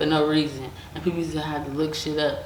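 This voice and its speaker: Over noticeable background noise and audible room echo, a woman with a very deep, low pitch talks at a fairly quick pace. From Detroit, Michigan, then raised in Las Vegas. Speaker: rapper. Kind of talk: interview.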